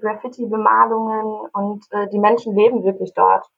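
The woman's pitch is fairly high and her pace fairly slow. She talks in a monotone, flat way. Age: 20s. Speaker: youth association leader and student. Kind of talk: casual chat.

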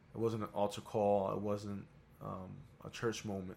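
A man with an American accent speaks in a monotone, flat intonation at a fairly low pitch. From New York. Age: 30s. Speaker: guest, singer and student. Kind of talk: casual interview chat.

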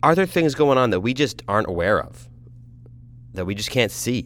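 A man's voice with very wide pitch swings and vocal fry. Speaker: podcast host. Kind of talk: casual monologue. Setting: in a car. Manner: rambling, conversational.

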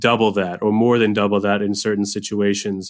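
An unremarkable speaking voice from a man, pitched fairly low, moderate in speed, intonation fairly even. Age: 30s. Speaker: financial planner podcast host. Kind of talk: solo educational podcast monologue. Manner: casual with frequent fillers and repetitions.

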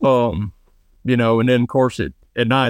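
A man speaks with a Southern US accent. His pace is fairly quick. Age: 20s. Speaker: trapshooter and chiropractic student. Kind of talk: casual interview.

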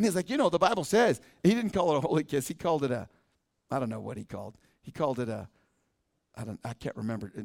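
The speaker goes at a very fast pace, broken by long, frequent pauses, with vocal fry and very wide pitch swings. The sound is dry and close, with no echo. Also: man, fairly high pitch for a man. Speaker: pastor. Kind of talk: sermon. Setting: church. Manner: fast talker.

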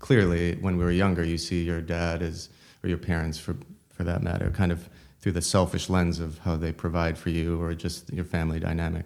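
A man's very deep, low voice with an American accent at a fairly quick pace. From United States. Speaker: journalist and author. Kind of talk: interview conversation. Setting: rented apartment during a trade fair.

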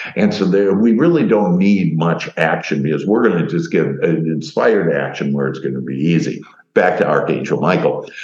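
Over noticeable background noise, a man with a very deep, low pitch speaks at a moderate pace with ordinary pitch variation and hardly any pauses. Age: 60s. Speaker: life coach and author. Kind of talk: talk-style interview. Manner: warm, positive, talkative.

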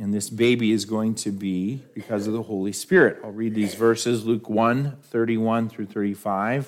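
A man with an American accent speaks at a moderate pace and a medium pitch. It is a plain, everyday voice. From New York. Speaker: pastor. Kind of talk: sermon.

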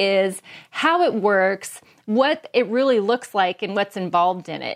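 A woman with an American accent and an unremarkable speaking voice talks at a moderate pace in a fairly high pitch, her intonation lively, on a very clean recording with a silent background. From Washington State, US Pacific Northwest. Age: 50s. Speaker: travel podcaster, YouTuber. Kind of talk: casual chat.

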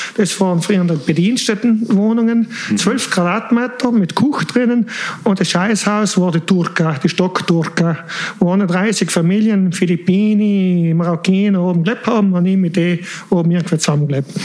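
Noticeable background noise sits behind the speaker. He is a man with a high-pitched voice. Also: ordinary pitch variation, moderate pace, very even loudness. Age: 40s. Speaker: engineer. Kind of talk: personal life story in casual interview. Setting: late-night recording.

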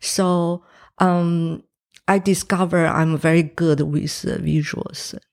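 In a very clean recording with a silent background, a woman speaks in a Chinese accent at a very slow pace. Her fairly low voice has a monotone, flat intonation. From Taiwan. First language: Mandarin Chinese. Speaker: painter, former film director. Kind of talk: interview. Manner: hesitant, many fillers.

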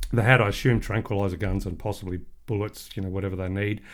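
In a very clean recording with a silent background, a man speaks in an Australian accent. His pitch is fairly low and his intonation fairly even. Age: 40s. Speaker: podcast host and author. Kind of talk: casual chat.

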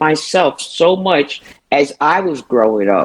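A woman with a New York accent, very deep and low in pitch, with lively intonation. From Brooklyn, New York. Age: 70s. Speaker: retired city employee. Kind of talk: casual chat. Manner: jovial, humorous.

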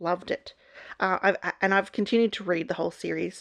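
This is a woman. She has an Australian accent. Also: quiet background. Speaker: book YouTuber. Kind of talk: casual book review vlog.

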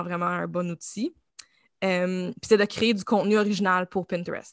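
A woman's medium-pitched voice at a moderate pace with ordinary pitch variation, dry and close with no echo, over a quiet background. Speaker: creative agency founder and art director. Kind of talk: interview.

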